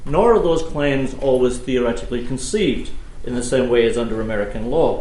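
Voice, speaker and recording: A man talks at a fairly quick pace, at a medium pitch, with ordinary pitch variation. Noticeable background noise and audible room echo fill the recording. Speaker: law professor. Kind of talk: keynote lecture. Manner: fast.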